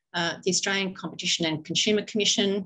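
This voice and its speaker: Only a woman's voice is heard. Around her, the background stays quiet. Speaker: forum host. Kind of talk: formal welcome and introductions. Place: meeting room. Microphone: video call.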